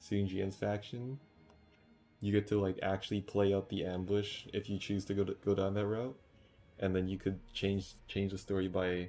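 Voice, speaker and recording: A man talks quietly in a monotone, flat intonation at a moderate pace. Music plays in the background. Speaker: gamer. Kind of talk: casual gaming commentary. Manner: quiet, low volume.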